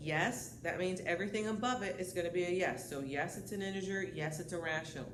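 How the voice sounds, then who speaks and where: A woman speaks at a fairly quick pace with lively intonation. Audible room echo and noticeable background noise are present. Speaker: high school math teacher. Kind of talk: lecture. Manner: fast.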